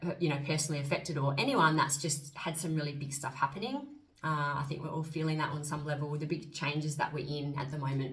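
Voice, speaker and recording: In an Australian accent, a woman speaks very fast with a very deep, low pitch and a somewhat breathy voice, with audible room echo. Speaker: astrologer and spiritual coach. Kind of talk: casual vlog monologue. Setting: on camera, solo video. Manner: animated.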